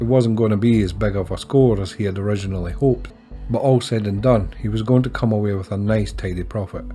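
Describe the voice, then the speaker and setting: A man talks at a fairly quick pace with a strong Scottish accent and ordinary pitch variation. Music plays in the background. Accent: broad Scottish. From Scotland. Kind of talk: audiobook narration.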